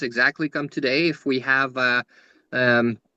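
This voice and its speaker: A man with a Quebec accent speaks at a fairly high pitch in a bright, sharp tone. The recording is dry and close, with no echo. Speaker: rune reader, spiritual guest speaker. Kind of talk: podcast interview, explaining runes. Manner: halting, many fillers and restarts.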